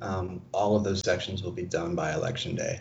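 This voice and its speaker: Speaking at a moderate pace in an American accent, a man is heard with audible room echo. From Arizona. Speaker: environmental campaigner. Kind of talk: interview. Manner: hesitant, many fillers.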